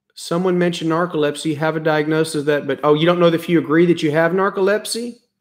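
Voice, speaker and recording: Speaking with an American accent, a man with a high pitch keeps his intonation fairly even at a fairly quick pace, in a very clean recording with a silent background. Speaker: family doctor. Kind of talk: casual live stream chat. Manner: halting.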